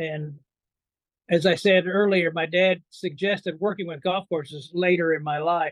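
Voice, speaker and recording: With fairly even intonation, a man speaks at a high pitch. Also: moderate pace. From Indiana. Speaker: biologist and author. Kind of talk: interview.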